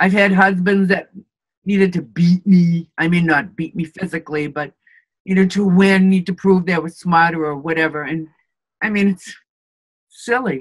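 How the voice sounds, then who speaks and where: Over a moderate pace broken by long, frequent pauses, a woman speaks in a fairly low, somewhat breathy voice with fairly even intonation. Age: 60s. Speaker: interviewee in couple interview. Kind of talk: interview.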